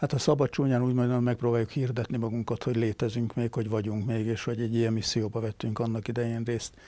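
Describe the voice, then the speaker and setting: A man with a dark, mellow tone speaks at a very fast pace with hardly any pauses. His intonation is monotone and flat, and the sound is dry with no echo. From Hungary. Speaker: retired army general. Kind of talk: interview. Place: studio. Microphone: lapel.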